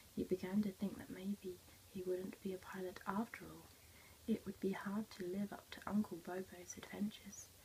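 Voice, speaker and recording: Soft-spoken, the speaker goes at a moderate pace over light background noise. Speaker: teacher or storyteller. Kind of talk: story read-aloud to children. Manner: soft, hushed ASMR storytelling voice. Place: classroom. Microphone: phone near.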